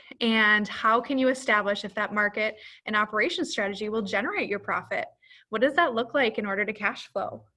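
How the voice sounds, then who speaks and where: Fairly high-pitched, a woman's voice at a fairly quick pace with ordinary pitch variation. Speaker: business advisor. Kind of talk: webinar presentation. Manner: animated.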